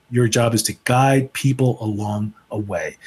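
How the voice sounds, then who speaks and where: This man has a medium pitch and ordinary pitch variation. His voice is somewhat breathy, with an American accent. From Chicago, US Midwest. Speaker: leadership speaker and author. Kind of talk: casual interview chat. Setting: remote from home.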